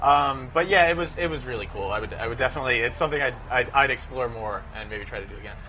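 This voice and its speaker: A man talks at a very fast pace with hardly any pauses. Noticeable background noise runs behind him. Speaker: racing newspaper writer (intern). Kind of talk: casual interview. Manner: hesitant, repeats words.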